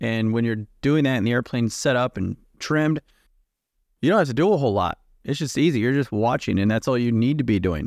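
A man's medium-pitched voice at a very fast pace, with ordinary pitch variation and very even loudness, in a very clean recording with a silent background and a dry, close sound with no echo. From United States. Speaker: corporate pilot, podcast co-host. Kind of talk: casual chat.

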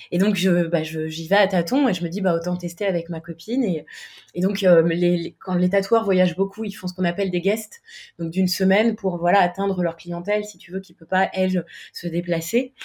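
At a moderate pace, a woman speaks in a somewhat breathy voice with fairly even intonation but big swings in loudness. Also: medium pitch for a woman. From Paris, France. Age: 30s. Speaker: freelance web designer and startup founder. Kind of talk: interview.

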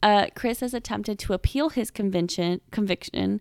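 A woman speaks with an American accent at a medium pitch. The recording is very clean, with a silent background and a dry, close sound with no echo. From Seattle, US Pacific Northwest. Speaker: podcast co-host. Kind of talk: storytelling chat. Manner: animated.

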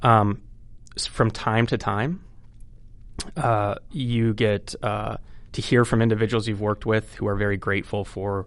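A man's fairly low voice with an American accent and fairly even intonation, against a quiet background. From Iowa, US Midwest. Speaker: mental health clinician, crisis services officer. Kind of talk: interview. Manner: hesitant, many fillers.

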